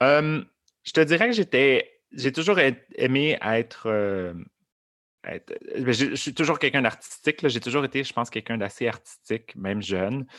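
In a very clean recording with a silent background and a dry, close sound with no echo, a man speaks at a fairly slow pace and a medium pitch with lively intonation. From Montreal area, Quebec. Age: 30s. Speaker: drag queen performer. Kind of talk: interview conversation. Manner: halting, many fillers and repetitions.

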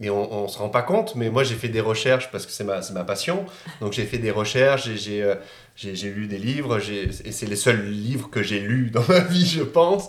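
Over noticeable background noise and audible room echo, a man with a medium pitch speaks at a fairly slow pace with lively intonation. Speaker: YouTuber. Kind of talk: casual chat.

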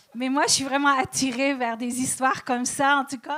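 A woman speaks in a high pitch over noticeable background noise. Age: old. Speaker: comedian. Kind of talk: stand-up. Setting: stage with audience. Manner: slow.

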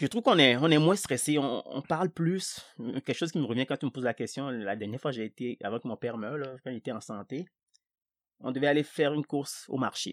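With a West African accent, this voice moves at a fairly quick pace with ordinary pitch variation, and the sound is dry and close with no echo on a very clean recording against a silent background. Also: man, fairly high pitch for a man. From Togo, Lomé. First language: Ewe (speaking French). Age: 40s. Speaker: market gardener. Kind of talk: casual chat.

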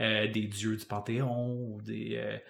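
A man's medium-pitched, monotone, flat delivery at a very slow pace, with audible room echo. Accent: Quebec. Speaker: podcast co-host, music teacher. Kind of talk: casual chat.

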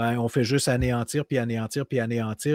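Dry, close sound with no echo, a man speaking with ordinary pitch variation. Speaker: podcast co-host, game tester. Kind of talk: casual chat.

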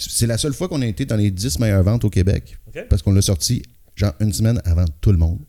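At a very fast pace, a man with a fairly low pitch talks in a dark, mellow, somewhat breathy tone with lively intonation. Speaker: rock singer and guitarist. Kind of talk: casual chat.

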